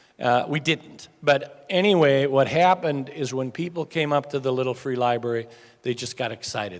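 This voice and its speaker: Here a man has a normal speaking voice, medium in pitch, with ordinary pitch variation at a moderate pace. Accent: American. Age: middle-aged. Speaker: nonprofit founder. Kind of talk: speech to a club audience.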